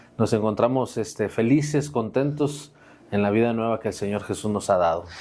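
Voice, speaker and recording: A dark, mellow tone comes through at a moderate pace in a very clean recording with a silent background. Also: man, medium pitch for a man, ordinary pitch variation. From Mexico, Saltillo, Coahuila. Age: 40s. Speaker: pastor. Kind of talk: testimony.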